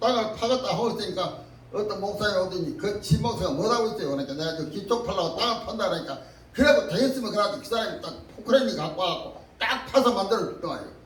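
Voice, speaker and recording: A man's high voice with lively intonation at a very fast pace, over noticeable background noise. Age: 80s+. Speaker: pastor. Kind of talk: personal testimony.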